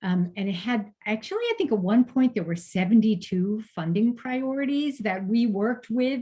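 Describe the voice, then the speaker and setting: A woman speaks at a fairly quick pace in a fairly high pitch, her voice somewhat breathy with a dark, mellow tone. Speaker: fundraising consultant. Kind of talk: webinar presentation. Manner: fast.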